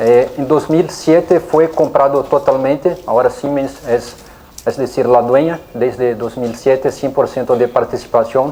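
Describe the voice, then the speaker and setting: Someone with a Brazilian accent speaks at a fairly slow pace over noticeable background noise. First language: Portuguese (speaking Spanish). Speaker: engineering company representative, conference speaker. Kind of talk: technical lecture. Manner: hesitant, many fillers.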